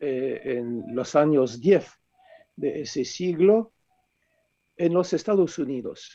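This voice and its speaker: Speaking in a French accent, a man uses lively intonation and a dark, mellow tone. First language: French (speaking Spanish). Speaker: author, philosopher. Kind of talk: book presentation talk.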